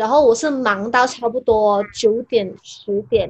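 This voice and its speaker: A woman with ordinary pitch variation. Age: 20s. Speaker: YouTuber. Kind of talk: casual interview chat. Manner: talkative.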